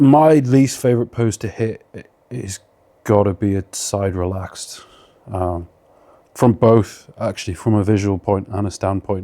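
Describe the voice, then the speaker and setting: A man with a British accent talks at a fairly slow pace. His fairly low voice has a dark, mellow tone and ordinary pitch variation. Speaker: bodybuilder. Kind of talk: casual Q&A monologue. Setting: at home.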